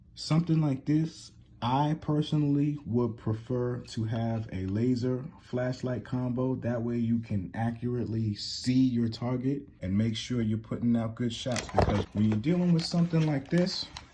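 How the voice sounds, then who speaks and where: There is noticeable background noise as a man with a medium pitch speaks at a moderate pace with ordinary pitch variation. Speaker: gun reviewer. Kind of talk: product review tutorial. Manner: casual.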